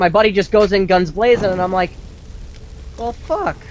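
A man with a high pitch speaks fairly quickly, with ordinary pitch variation, while noticeable background noise is heard. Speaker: gaming show co-host. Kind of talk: casual chat.

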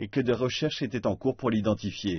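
Male speech, somewhat breathy, with ordinary pitch variation. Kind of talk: TV news read.

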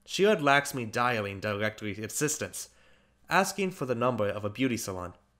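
Someone does plain reading aloud here.

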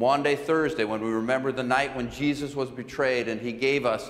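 A man in a monotone, flat intonation. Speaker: pastor. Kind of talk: church announcements. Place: church.

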